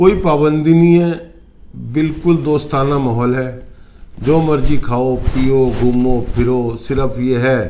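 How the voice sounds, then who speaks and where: Audible room echo and noticeable background noise surround a man whose medium-pitched voice shows ordinary pitch variation. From North India, Uttarakhand (Roorkee). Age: 60s. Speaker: retired businessman, client giving testimonial. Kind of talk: testimony interview. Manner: halting.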